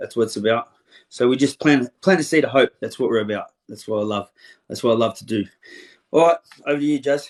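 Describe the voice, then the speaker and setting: A man with an Australian accent talks at a fairly quick pace in a medium pitch. The sound is dry and close, with no echo. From Australia, western suburbs of Melbourne. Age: 40s. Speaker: interviewer, motivational speaker, ex-offender. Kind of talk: casual interview.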